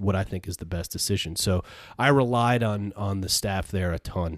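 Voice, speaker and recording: This is a man with a normal speaking voice and an American accent, talking at a moderate pace with ordinary pitch variation. The recording is very clean, with a silent background. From upstate New York (Peru, NY). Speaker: entrepreneur, former school administrator. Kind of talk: casual interview chat.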